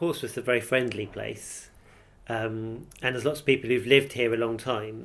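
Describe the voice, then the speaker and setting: With fairly even intonation, a normal speaking voice proceeds at a moderate speed. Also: man, medium pitch for a man. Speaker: university professor, dialect researcher. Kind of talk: interview answer.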